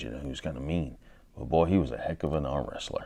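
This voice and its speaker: A man's very deep, low voice with vocal fry, delivered at a very fast pace. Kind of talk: comedic rambling anecdote.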